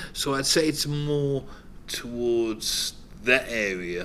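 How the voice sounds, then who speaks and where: A man with a Cardiff accent talks at a medium pitch. Audible room echo is present. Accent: Cardiff Welsh English. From Cardiff, Wales (Butetown). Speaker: former local resident. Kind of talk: documentary interview.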